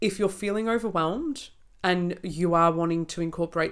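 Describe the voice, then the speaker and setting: At a moderate pace, a woman talks with an Australian accent. Her fairly low pitch shows ordinary variation. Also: very clean recording, silent background. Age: 20s. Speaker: naturopath podcast co-host. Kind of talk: casual chat.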